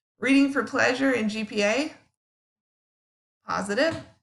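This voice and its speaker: A woman's fairly high voice with vocal fry, lively intonation and a fairly slow pace. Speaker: psychology teacher. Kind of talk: recorded lecture. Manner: casual, with many fillers.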